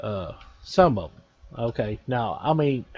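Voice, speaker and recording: A man in a Texan accent, with lively intonation. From Texas. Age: 40s. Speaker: gaming YouTuber. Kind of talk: casual video commentary.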